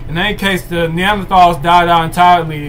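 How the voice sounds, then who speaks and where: Over noticeable background noise and audible room echo, a loud man with a high pitch talks at a fairly quick pace and fairly even intonation. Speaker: livestream host. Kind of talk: reading aloud. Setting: live stream. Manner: halting.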